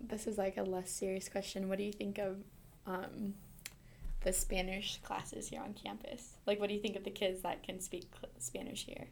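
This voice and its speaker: With an American accent, a woman talks at a medium pitch and a moderate pace, with ordinary pitch variation and vocal fry. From Montana. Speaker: podcast host, university staff. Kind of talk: casual interview.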